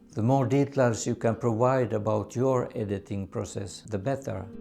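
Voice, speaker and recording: With a Swedish accent, a man speaks at medium pitch in a dark, mellow tone, using ordinary pitch variation. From Sweden. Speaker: photography YouTuber. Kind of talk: tutorial.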